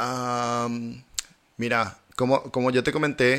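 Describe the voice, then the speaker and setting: A bright, sharp tone in a Paraguayan accent. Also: man. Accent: Paraguayan Spanish, voseo. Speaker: German teacher. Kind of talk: casual interview.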